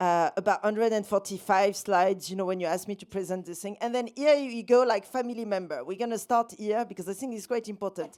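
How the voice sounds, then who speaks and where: In a French accent, the voice races at a very fast pace with hardly any pauses and ordinary pitch variation, in a very clean recording with a silent background. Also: woman, medium pitch for a woman. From France, south (Valence). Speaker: documentary filmmaker. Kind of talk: festival talk with slide presentation. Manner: casual, chatty with many fillers.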